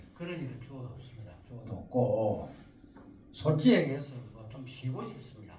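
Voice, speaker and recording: A medium-pitched man with audible room echo. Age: 70s. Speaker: local council chairman. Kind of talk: press conference Q&A. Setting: press conference with reporters.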